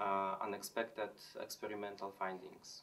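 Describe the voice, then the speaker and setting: A man with a Polish accent at a moderate pace, music playing in the background. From Poland. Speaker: chemistry lecturer. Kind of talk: interview answers. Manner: halting, with fillers. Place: office.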